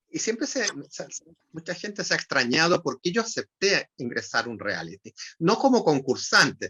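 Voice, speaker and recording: The pace is moderate. Pitch swings are very wide. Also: man, high pitch for a man. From Chile. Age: 70s. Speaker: writer and retired language professor. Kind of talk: interview conversation. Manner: halting, frequent repetitions and fillers.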